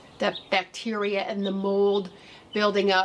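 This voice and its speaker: There is light background noise. A woman talks at a fairly slow pace. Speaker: gardening channel host. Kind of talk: tutorial. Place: garden. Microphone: camera far.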